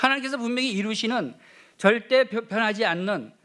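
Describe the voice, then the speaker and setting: A man talks at a fairly quick pace. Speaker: pastor. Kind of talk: sermon. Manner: loud.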